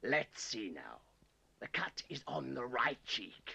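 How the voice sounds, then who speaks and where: A man puts on a raspy, menacing character voice at a fairly slow pace. His loudness swings widely. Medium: short film. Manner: wheedling, menacing.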